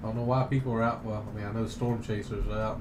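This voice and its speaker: Medium-pitched man in a Southern US accent, with monotone, flat intonation and audible room echo. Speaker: live stream news host. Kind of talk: live commentary. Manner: casual, hesitant with restarts.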